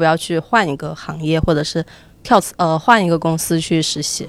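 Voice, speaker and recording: A woman with a plain, everyday voice talks at a fairly quick pace with fairly even intonation. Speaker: university student and intern. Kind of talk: casual chat before a live audience. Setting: stage with audience.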